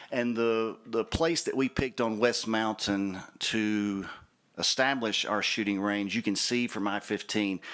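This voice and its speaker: Someone speaks with a Southern US accent at a fairly slow pace. The loudness stays very even and the intonation fairly even. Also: man, fairly low pitch for a man. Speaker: shooting range representative. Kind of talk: project presentation at public meeting.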